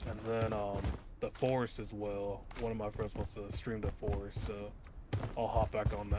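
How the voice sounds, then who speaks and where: Someone speaks at a moderate pace with music in the background. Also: man. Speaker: gaming YouTuber. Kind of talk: casual gameplay commentary. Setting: home recording with microphone. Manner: calm, unexcitable.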